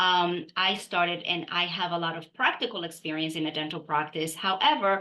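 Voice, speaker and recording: A woman with a non-native accent, bright and sharp in tone, fairly low in pitch, with fairly even intonation, a moderate pace and hardly any pauses. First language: not English. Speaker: dental practice consultant. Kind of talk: podcast interview.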